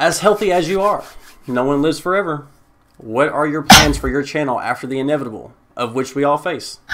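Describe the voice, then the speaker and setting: This man has an unremarkable speaking voice, fairly high in pitch with ordinary pitch variation. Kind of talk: podcast host interview. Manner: casual, conversational.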